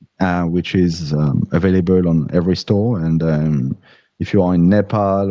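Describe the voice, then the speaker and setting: In a French accent, a man speaks at a moderate pace with a very deep, low pitch and a dark, mellow tone. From France. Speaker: crypto app founder, engineer. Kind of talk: livestream interview.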